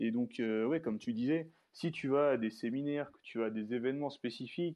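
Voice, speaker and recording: At a moderate pace, a man speaks in a medium pitch. His is an ordinary speaking voice, and his pitch varies in an ordinary way. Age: 20s. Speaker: social media personal development creator. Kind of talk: casual interview.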